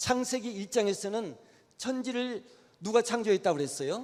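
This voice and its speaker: Noticeable background noise plays behind a man who talks at a moderate speed. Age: 80s+. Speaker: retired church elder giving a lecture. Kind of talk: lecture. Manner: halting.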